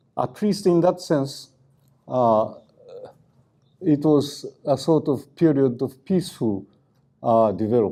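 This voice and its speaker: Speaking at a very slow pace with long, frequent pauses, a man has a dark, mellow tone, a fairly high pitch and lively intonation. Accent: Japanese. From Japan. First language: Japanese. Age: 80s+. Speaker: activist scholar. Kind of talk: lecture. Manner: halting, many fillers.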